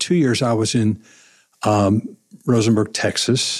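With an American accent, a man talks at a moderate pace in an unremarkable speaking voice, at medium pitch with ordinary pitch variation. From southwest Missouri. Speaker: pastor. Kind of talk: interview.

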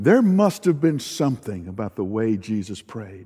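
A man's dark, mellow voice with a Southern US accent, fairly slow and full of very wide pitch swings. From US South. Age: old. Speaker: pastor. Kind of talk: sermon. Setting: online worship service.

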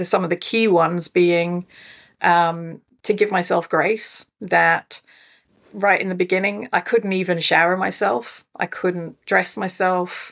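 A woman's fairly low voice in a Scottish accent, fairly slow and with fairly even intonation. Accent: non-Australian accent, audibly Scottish. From Scotland. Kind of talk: interview, personal story.

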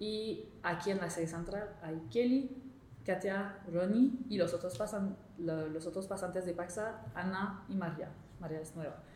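In a French accent, a woman speaks at a fairly slow pace with ordinary pitch variation. Noticeable background noise and audible room echo fill the recording. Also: medium pitch for a woman. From Quebec, Montreal. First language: French (speaking Spanish). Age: 20s. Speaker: intern. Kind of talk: interview. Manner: halting.

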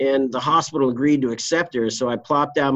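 Over a quiet background, an ordinary speaking voice with an American accent carries fairly even intonation. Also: man. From US East Coast. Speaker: trial lawyer. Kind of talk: casual interview.

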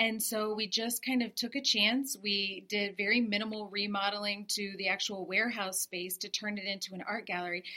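A woman of medium pitch speaks at a moderate pace with fairly even intonation and hardly any pauses, an ordinary speaking voice. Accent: American. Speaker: artist and interior designer. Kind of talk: interview. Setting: gallery, in person.

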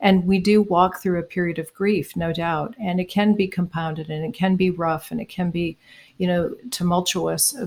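A woman with an unremarkable speaking voice talks at a moderate pace, with fairly low pitch and fairly even intonation. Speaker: co-author, pastoral counselor and painter. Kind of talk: casual interview chat.

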